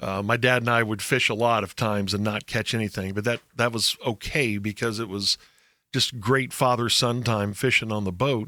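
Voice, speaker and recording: The tone is bright and sharp, with an American accent at a moderate pace. The recording is very clean, with a silent background. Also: man, medium pitch for a man. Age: 60s. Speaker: radio host. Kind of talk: casual chat. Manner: animated storytelling.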